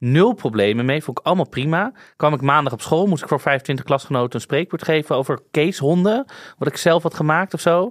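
With lively intonation and a fairly quick pace, this is a normal speaking voice. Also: man, fairly high pitch for a man. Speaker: podcast host. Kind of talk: casual chat.

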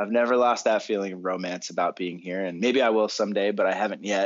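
A man with an American accent, fairly low pitch and monotone, flat intonation. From Boston area, Massachusetts. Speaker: electronic musician. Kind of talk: interview. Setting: remote interview from home. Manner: relaxed, hesitant with fillers.

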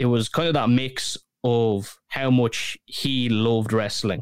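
A man with a Dublin accent, medium pitch and fairly even intonation, on a very clean recording with a silent background. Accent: Dublin Irish. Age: 20s. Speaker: podcast host. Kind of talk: casual chat.

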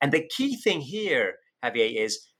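Here a man is speaking. He has a British accent. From UK. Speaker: economics professor and author. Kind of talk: interview.

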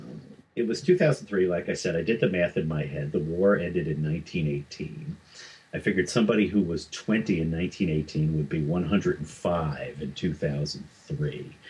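In a very deep, low voice that is somewhat breathy, a man speaks at a fairly slow pace with ordinary pitch variation. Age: 40s. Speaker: author and journalist. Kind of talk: interview.

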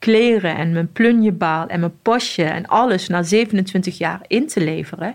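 A woman with a plain, everyday voice speaks at medium pitch with ordinary pitch variation. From Morocco (Casablanca). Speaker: police officer. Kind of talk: interview testimony.

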